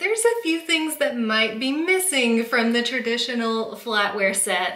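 A woman talks at a moderate pace in a high voice. Audible room echo surrounds her speech. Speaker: home organizing vlogger. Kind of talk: tutorial. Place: kitchen.

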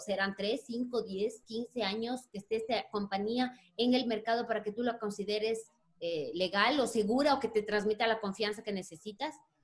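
This woman has a fairly high pitch.

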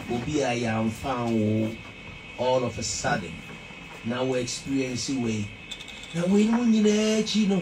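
A man with a Ghanaian accent speaks fairly slowly, with long, frequent pauses. His pitch swings very widely, and music plays in the background. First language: Twi. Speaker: interviewer. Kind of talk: interview. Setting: studio. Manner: animated. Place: studio.

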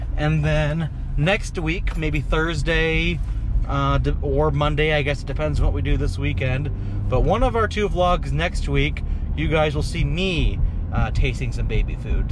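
There is noticeable background noise as a man speaks at a fairly slow pace, the sound dry with no echo. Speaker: vlogger. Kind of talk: casual vlog chat. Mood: upbeat, excited. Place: car. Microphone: phone near.

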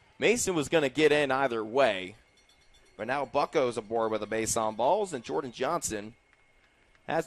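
This man has an ordinary speaking voice, medium in pitch, with lively intonation at a moderate pace. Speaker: baseball play-by-play announcer. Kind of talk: live sports commentary, play-by-play broadcast. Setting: ballpark broadcast booth. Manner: chatty and upbeat, joking about fireworks and dingers.

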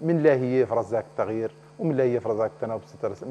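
Against light background noise, a man speaks at a very fast pace. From Mauritania. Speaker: member of parliament; politician guest. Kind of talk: TV political interview. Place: studio. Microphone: lapel.

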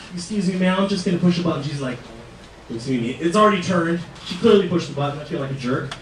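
A man's high voice at a very fast pace, with ordinary pitch variation, audible room echo and light background noise. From Fresno, California; California. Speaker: stand-up comedian. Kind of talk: stand-up. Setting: stage with audience. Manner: loud. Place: stage.

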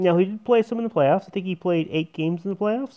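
Against quiet surroundings, the man keeps up a fairly brisk pace. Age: 30s. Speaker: sports YouTuber. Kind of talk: casual monologue. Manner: halting. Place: home room. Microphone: earbuds.

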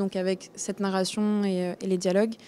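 Her tone is dark and mellow, at a medium pitch. This woman speaks in a monotone, flat intonation. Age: 20s. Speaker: actress. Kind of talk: interview. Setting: film festival. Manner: hesitant.

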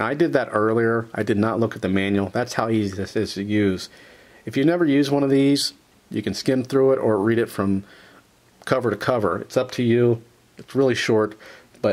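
Ordinary pitch variation marks a man's fairly quick speech. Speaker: product reviewer. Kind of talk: tutorial. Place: workshop.

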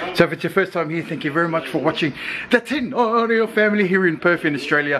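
Over noticeable background noise, a man talks at a fairly quick pace in a raised, projected voice. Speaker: family vlogger. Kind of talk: casual vlog chat. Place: home room. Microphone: phone near.

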